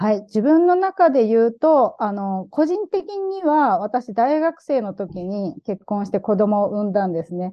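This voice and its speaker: A woman speaks at a fairly slow pace with hardly any pauses. Her fairly high pitch moves in very wide swings. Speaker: activist. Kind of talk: casual interview chat.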